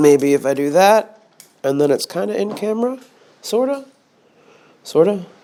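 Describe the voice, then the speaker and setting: A man's high voice with very wide pitch swings, a moderate pace and long, frequent pauses. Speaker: vlogger. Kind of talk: casual vlog monologue. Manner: casual, halting with fillers.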